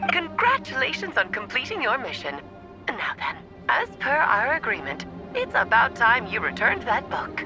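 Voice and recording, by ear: Faint music plays behind a woman doing a cartoonish character voice at a fairly high pitch. Her tone is bright and sharp, her pace moderate, with big pitch swings.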